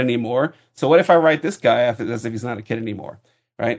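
A man talks in an unremarkable speaking voice. His intonation is lively and his pace moderate. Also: quiet background. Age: 40s. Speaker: podcaster, comics fan. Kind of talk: casual banter podcast. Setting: video call. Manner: joking, bantering.

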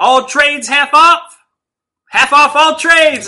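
Shouting loudly in a put-on character voice, a man speaks at an extremely high pitch and a very slow pace. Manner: loud, repetitive shouting.

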